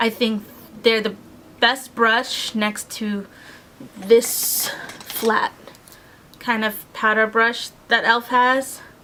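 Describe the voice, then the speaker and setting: Against noticeable background noise, a woman talks very slowly at a fairly high pitch, her intonation monotone and flat. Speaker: beauty vlogger. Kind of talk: casual product review. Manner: casual, filler-heavy.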